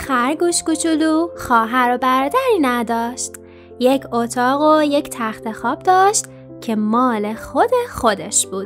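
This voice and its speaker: The voice has a gentle, calm tone at a very slow pace. Music plays in the background. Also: woman. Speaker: storyteller / narrator. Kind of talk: children's bedtime story narration with character voices. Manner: gentle, calm storytelling.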